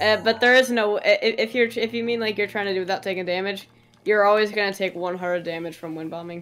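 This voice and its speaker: Amid noticeable background noise, a woman talks at a fairly quick pace with a medium pitch and ordinary pitch variation. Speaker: gaming streamer. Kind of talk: casual chat.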